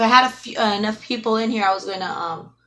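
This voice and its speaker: Mumbling at a very fast pace, a woman speaks with a bright, sharp tone. Her pitch variation is ordinary. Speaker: YouTuber doing live streams. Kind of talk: casual live-stream chat. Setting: live stream.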